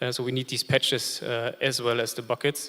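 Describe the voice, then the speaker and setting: In a German accent, a man speaks fairly quickly at a medium pitch, his bright, sharp tone set in a monotone, flat intonation. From Germany. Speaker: industry representative, panelist. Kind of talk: panel discussion. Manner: many filler hesitations.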